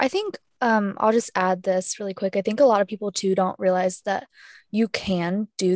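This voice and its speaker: An ordinary speaking voice from a woman at medium pitch and moderate pace, with fairly even intonation and a dry, close sound with no echo. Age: young. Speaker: podcast co-host, real estate agent and student. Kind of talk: casual chat.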